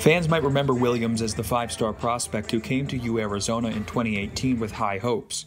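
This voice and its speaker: A man at a medium pitch and fairly quick pace, with ordinary pitch variation and music in the background. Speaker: broadcast journalist. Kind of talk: TV news anchor and reporter read.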